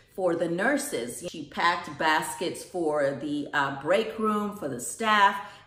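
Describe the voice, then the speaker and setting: Speech at a very slow pace carries audible room echo. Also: woman. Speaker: vlogger. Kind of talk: casual vlog chat. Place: kitchen. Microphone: phone near.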